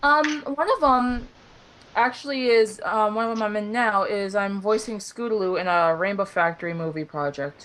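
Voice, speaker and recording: A woman's normal speaking voice, fairly high in pitch, with lively intonation at a moderate pace. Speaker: voice actor and artist. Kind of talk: interview.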